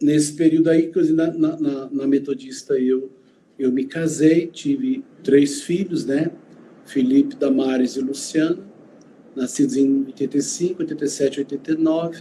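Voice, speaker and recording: A man with a fairly high pitch talks at a fairly slow pace, using ordinary pitch variation and long, frequent pauses. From Goiânia, Brazil (born in Uberlândia). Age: 60s. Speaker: pastor. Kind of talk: interview.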